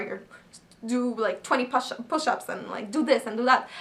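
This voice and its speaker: A woman speaks at a fairly high pitch with a French accent. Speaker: actress and model. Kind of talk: casual Q&A vlog. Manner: hesitant, many fillers.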